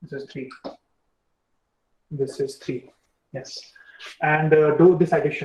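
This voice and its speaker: A man with an Indian accent speaks at a fairly high pitch, somewhat breathy, with fairly even intonation. His loudness swings widely, and he takes long, frequent pauses. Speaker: university lecturer. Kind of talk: lecture. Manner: fast.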